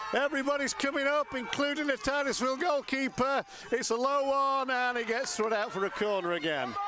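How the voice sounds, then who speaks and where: With noticeable background noise behind him, a man uses a raised, projected voice at an extremely high pitch. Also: very even loudness. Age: 60s. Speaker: soccer commentator. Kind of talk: live commentary. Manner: animated.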